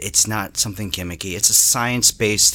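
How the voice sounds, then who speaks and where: A man talks at a moderate pace in a normal speaking voice. His fairly low pitch shows ordinary variation. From New Jersey. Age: 30s. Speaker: head of marketing. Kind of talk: casual interview. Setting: office.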